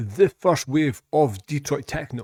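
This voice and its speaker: In a very clean recording with a silent background, a man with a Scottish accent speaks at a fairly high pitch with ordinary pitch variation, the sound dry and close with no echo. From Scotland. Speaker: music reaction youtuber. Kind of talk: casual chat. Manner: halting.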